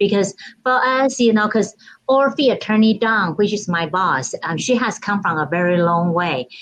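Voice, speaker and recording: A woman speaks with a Taiwanese accent. Her pace is moderate. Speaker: title company escrow officer. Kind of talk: casual interview chat. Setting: video call.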